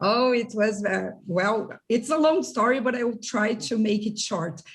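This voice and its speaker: A woman with a Brazilian accent speaks at a fairly slow pace, with a fairly high pitch and ordinary pitch variation. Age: 40s. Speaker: translator. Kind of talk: casual chat.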